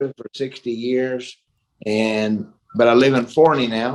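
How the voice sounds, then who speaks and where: A man speaks with a Texan accent at a medium pitch. His intonation stays fairly even. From Texas (Mansfield). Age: 60s. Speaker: retired boxer and kickboxer. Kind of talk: interview.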